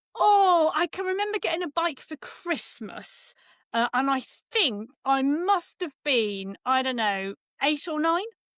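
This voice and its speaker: A woman with an English accent speaks at a fairly slow pace and a high pitch, her voice swinging very widely. The very clean recording has a silent background and a dry, close sound with no echo. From England. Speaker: cycling esports commentator. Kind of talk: casual interview.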